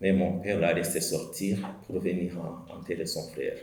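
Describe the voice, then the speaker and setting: Speaking at a moderate pace in a very deep, low pitch, a man with a Rwandan accent has a dark, mellow tone and monotone, flat intonation, with audible room echo around him. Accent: Rwandan accent, L and R swapped. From Rwanda, Cyangugu area. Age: 40s. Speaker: genocide survivor. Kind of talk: testimony. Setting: commemoration event. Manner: halting, many hesitations.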